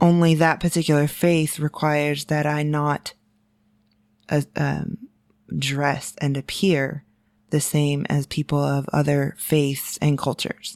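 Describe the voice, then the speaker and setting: In a very clean, silent recording with a dry, close sound and no echo, a woman with an American accent talks fairly slowly in a very deep, low voice with flat, monotone intonation. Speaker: podcast co-host. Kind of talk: casual chat. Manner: halting.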